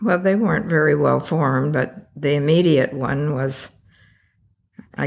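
In a very clean recording with a silent background, a woman with a Californian accent speaks at a very deep, low pitch with vocal fry. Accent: Californian American. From California (Taft, Central Valley). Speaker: retired architect. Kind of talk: interview.

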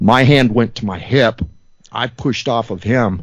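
A man speaks with an ordinary speaking voice at a medium pitch, with ordinary pitch variation. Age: 40s. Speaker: firearms enthusiast and student. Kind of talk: casual interview.

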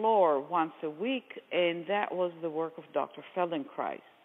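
A woman speaks with an Israeli accent at a fairly slow pace. Her pitch is fairly low, with ordinary variation. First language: Hebrew. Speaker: movement therapy method founder. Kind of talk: interview explanation.

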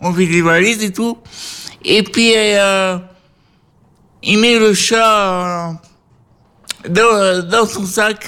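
Very slowly and with long, frequent pauses, a man speaks in a raised, projected voice, high in pitch, with a bright, sharp tone and fairly even intonation. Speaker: care home resident co-host. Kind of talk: casual chat; storytelling. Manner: stutter; halting.

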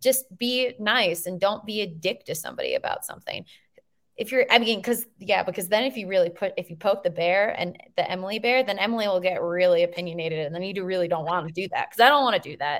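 With an American accent, a woman speaks at a very fast pace and a medium pitch. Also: ordinary pitch variation. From Minnesota. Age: 30s. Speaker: photographer and podcast host. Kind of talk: casual chat.

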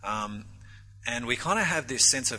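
A man speaks with an Australian accent at a fairly low pitch, with vocal fry. His tone is bright and sharp, and his intonation stays fairly even. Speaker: pastor. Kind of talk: conference panel discussion. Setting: stage with audience.

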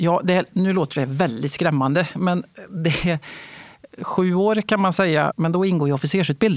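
The recording is dry and close with no echo. A man with a high pitch talks at a moderate pace with ordinary pitch variation. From Värmland, Sweden. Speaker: fighter pilot. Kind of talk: interview. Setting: studio.

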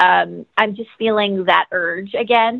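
Here a woman with an American accent and a plain, everyday voice speaks at medium pitch and a fairly slow pace. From Los Angeles. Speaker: actress and yoga instructor. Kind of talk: interview, conversational. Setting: phone call.

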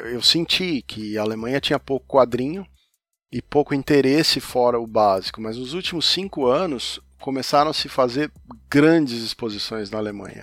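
A man with a plain, everyday voice speaks at a moderate pace and medium pitch, with ordinary pitch variation, big swings in loudness, and a dry, close sound with no echo on a very clean recording with a silent background. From Brazil, São Paulo. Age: 50s. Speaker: comics journalist and podcaster. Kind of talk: casual interview conversation.

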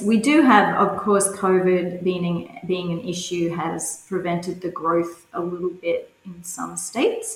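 At a fairly slow pace, a woman talks in a fairly low pitch with ordinary pitch variation. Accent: Australian. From Australia, rural New South Wales (Cowra). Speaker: curling club organiser and coach. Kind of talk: interview.

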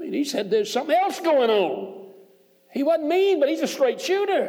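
A man with a Southern US accent speaks at a moderate pace, his pitch extremely high with very wide swings. Noticeable background noise is present. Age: 60s. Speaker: preacher. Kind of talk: sermon. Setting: church.

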